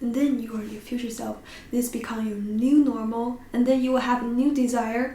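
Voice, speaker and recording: With a non-native accent and a high pitch, a woman speaks at a moderate pace with fairly even intonation, amid noticeable background noise and audible room echo. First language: not English. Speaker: podcast host. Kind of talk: casual chat. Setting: in front of a camera.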